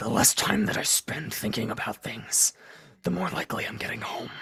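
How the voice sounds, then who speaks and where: A man does a put-on character voice. It is raspy and fairly low in pitch. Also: moderate pace. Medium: actual play. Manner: grave, foreboding.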